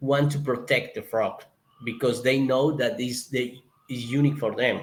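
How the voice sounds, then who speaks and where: A man with a Colombian accent speaks at a medium pitch. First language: Spanish. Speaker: zoo conservationist. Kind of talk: interview. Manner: halting, searching for words.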